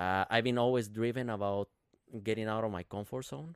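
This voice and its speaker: The man's voice sits fairly low in pitch. His intonation is fairly even, with a dry, close sound and no echo. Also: very clean recording, silent background. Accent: Spanish. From Guatemala. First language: Spanish. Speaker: triathlete and fitness business owner. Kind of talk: casual chat.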